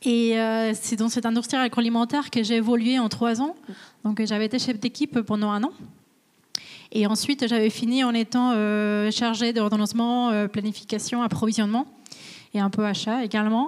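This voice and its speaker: At a moderate pace, a woman talks at a fairly high pitch with fairly even intonation and very even loudness. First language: Spanish (speaking French). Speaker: supply chain manager. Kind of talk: career interview on webinar. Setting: company visit, webinar. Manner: hesitant, many fillers.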